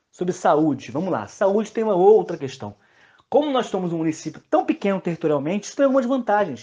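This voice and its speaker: Over a quiet background, a man with a dark, mellow tone and a high pitch talks at a very fast pace, his pitch swinging very widely. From Brazil, São João de Meriti (Rio de Janeiro area). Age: 30s. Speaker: politician and teacher. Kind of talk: interview.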